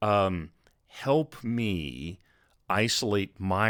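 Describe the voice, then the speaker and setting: Recorded very cleanly against a silent background, a man talks with a fairly low-pitched voice. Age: 60s. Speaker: miniature painting youtuber. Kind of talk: casual talk to camera. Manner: conversational with fillers.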